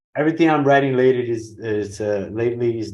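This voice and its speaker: A man speaks very fast in a Portuguese accent, his fairly low pitch showing ordinary variation. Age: 40s. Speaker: pro wing foil rider. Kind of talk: podcast interview. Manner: halting, non-fluent English.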